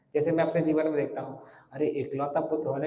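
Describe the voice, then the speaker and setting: A man's fairly high, somewhat breathy voice carries a dark, mellow tone with audible room echo. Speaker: monk and spiritual teacher. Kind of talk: religious lecture. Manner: clear articulation; conversational.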